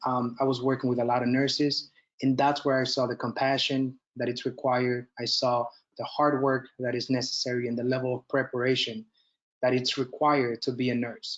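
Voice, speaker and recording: A man's medium-pitched voice with a Spanish accent and monotone, flat intonation. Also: fairly quick pace. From Dominican Republic. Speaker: nurse educator and military officer. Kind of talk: lecture. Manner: halting.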